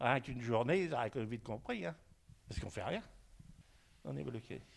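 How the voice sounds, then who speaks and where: Talking at a fairly quick pace, a man with vocal fry and a medium pitch makes very wide pitch swings. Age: 70s. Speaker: nursing home resident. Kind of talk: interview testimony. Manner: halting, with many hesitations.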